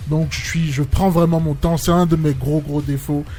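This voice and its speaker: A man's fairly high voice at a moderate pace over background music. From Benin, Cotonou. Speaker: singer. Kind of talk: interview. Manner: halting.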